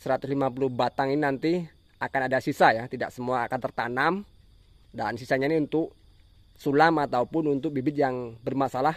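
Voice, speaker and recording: A man at a medium pitch and a very fast pace. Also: fairly even intonation, dry, close sound with no echo. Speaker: oil palm farming YouTuber. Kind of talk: tutorial.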